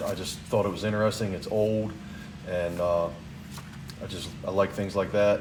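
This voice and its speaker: A man's fairly low voice at a moderate pace with fairly even intonation and audible room echo. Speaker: tool collector vlogger. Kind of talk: casual vlog talk. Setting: garage.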